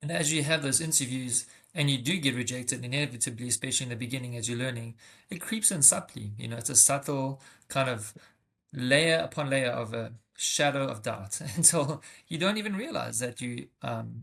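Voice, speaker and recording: With a South African accent, a man speaks at a fairly quick pace and medium pitch. His pitch variation is ordinary, on a very clean recording with a silent background. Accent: South African, noticeable. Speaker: tech sales rep. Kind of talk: interview podcast. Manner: hesitant, many fillers.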